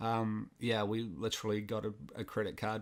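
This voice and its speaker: A man with a New Zealand accent and monotone, flat intonation. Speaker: filmmaker and content creator. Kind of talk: podcast interview. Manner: casual.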